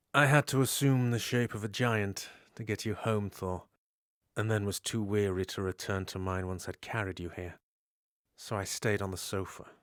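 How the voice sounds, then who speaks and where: Over a very clean recording with a silent background, a man uses a put-on character voice at a fairly low pitch and moderate pace. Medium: audio drama. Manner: smug, sardonic.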